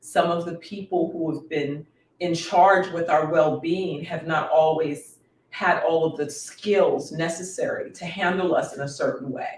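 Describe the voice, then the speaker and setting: A woman speaks in a normal speaking voice at a fairly low pitch and a fairly slow pace. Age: 50s. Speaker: wellness coach and educator. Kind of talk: casual chat. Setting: dinner at home with guests.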